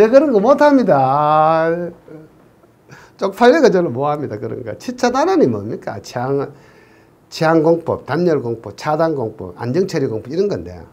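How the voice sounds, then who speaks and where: Speaking at a moderate pace with a Gyeongsang accent, a man's fairly high voice swings very widely in pitch and shows big swings in loudness. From Gyeongsang region, Korea. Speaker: civil engineering exam lecturer. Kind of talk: online lecture. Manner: casual, joking.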